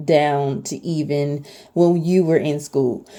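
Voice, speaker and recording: Very deep and low, a woman's voice has a dark, mellow tone. Her intonation stays fairly even. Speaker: lifestyle vlogger, former teacher. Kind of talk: casual talk to camera. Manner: hesitant, many fillers.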